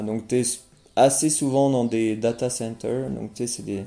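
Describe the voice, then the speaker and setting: With a dark, mellow tone, a man talks at a fairly slow pace, his pitch medium and his intonation fairly even. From France. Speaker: singer. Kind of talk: interview.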